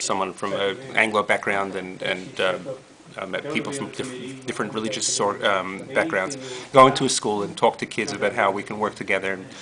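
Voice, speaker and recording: A man at a fairly quick pace and fairly low pitch, with ordinary pitch variation and noticeable background noise. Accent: American. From New York, Brooklyn. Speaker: rabbi, interfaith educator. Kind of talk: interview. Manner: halting, many fillers.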